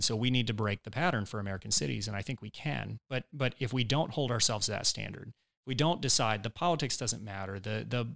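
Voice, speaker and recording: Over a silent background in a very clean recording, a man speaks very fast at a medium pitch with ordinary pitch variation. His voice carries vocal fry, and the sound is dry and close with no echo. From Georgia, Woodstock area (US South). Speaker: entrepreneur and mayoral candidate, former state legislator. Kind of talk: casual interview. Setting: studio.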